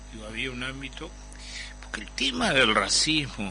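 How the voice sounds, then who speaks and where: Audible room echo and noticeable background noise surround talking that keeps a moderate pace. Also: man. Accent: Uruguayan. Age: 70s. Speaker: Afro-Uruguayan activist, former ambassador. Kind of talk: radio panel discussion.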